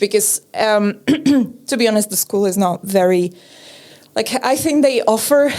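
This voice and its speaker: The speaker is a woman with a Czech accent. Her pitch is fairly high and her intonation lively. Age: 30s. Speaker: podcaster and TV presenter. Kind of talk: casual chat. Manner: halting.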